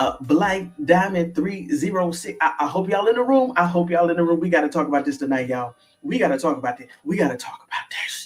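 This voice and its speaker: Here a man's high voice moves at a fairly quick pace, with lively intonation and big swings in loudness. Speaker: sports commentary streamer. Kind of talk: live stream reaction commentary. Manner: animated.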